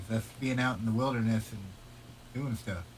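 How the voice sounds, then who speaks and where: A man with an American accent speaks. His voice sits at a medium pitch with fairly even intonation. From Iowa, Des Moines. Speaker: motorcyclist. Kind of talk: casual chat.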